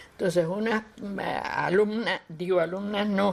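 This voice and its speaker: A woman's medium-pitched voice with vocal fry, at a very slow pace. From Cuba, Havana. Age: 80s+. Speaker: cultural promoter. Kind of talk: interview. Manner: halting.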